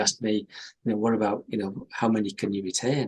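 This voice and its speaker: A man with a Teesside accent talks at a very fast pace. His medium-pitched voice has monotone, flat intonation. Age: 60s. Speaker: company chief executive. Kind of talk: interview. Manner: halting, many repetitions.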